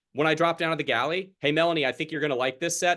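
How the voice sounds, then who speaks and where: Over a quiet background, a man speaks at a very fast pace in an animated tone. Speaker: sales trainer. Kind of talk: sales training call.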